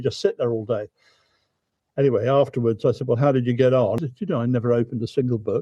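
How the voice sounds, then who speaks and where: A somewhat breathy man with a southern English accent, very fast in pace, with fairly even intonation. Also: medium pitch for a man. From southern England, Thames near Windsor. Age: 70s. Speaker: barge travel company founder. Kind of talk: interview. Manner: halting, repeats words.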